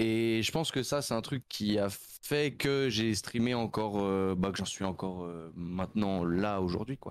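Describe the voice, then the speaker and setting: A man with a plain, everyday voice, fairly low in pitch with ordinary pitch variation, at a fairly slow pace in a very clean recording with a silent background. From Switzerland, canton of Vaud (near Nyon). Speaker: streamer. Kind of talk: casual interview.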